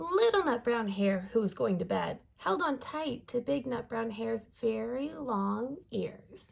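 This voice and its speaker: A raspy, put-on character voice moves at a fairly slow pace. There are hardly any pauses. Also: woman, fairly high pitch for a woman. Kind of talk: bedtime story. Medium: read story. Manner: soft, calm.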